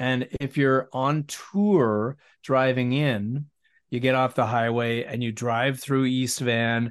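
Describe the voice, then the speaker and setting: A man with a Canadian accent and a plain, everyday voice speaks at a fairly slow pace and medium pitch with fairly even intonation over a quiet background. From West Vancouver, British Columbia. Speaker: musician and broadcaster. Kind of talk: casual interview chat.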